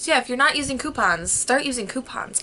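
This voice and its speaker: Against noticeable background noise, a woman with a high pitch speaks in a raised, projected voice and an animated tone. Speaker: vlogger. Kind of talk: casual chat. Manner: fast.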